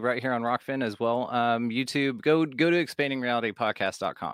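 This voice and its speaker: A man's medium-pitched voice at a fairly quick pace with fairly even intonation, on a very clean recording with a silent background. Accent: Texan. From Texas, Fort Worth. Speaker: podcast host (guest). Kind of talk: casual chat.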